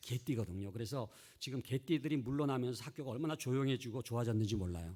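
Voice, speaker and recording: A man speaks with a dark, mellow tone and lively intonation on a very clean recording with a silent background. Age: 60s. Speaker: seminary professor, church education expert. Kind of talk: lecture.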